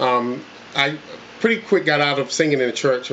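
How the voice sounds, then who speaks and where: Against noticeable background noise, a man in a Southern US accent talks at a fairly quick pace with ordinary pitch variation. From North Carolina (Coats, small town). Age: 40s. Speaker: country singer auditioning. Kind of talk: casting interview. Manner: halting, many fillers.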